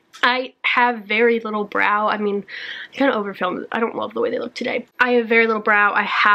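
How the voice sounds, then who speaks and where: Her delivery is monotone and flat. The woman speaks fairly quickly in a fairly high pitch. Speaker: beauty YouTuber. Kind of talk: casual product review vlog.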